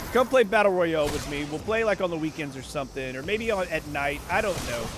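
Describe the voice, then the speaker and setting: Talking at a very fast pace, a man sounds animated, with lively intonation over noticeable background noise. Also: fairly high pitch for a man. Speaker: livestreamer. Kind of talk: casual chat. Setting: livestream from home. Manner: loud.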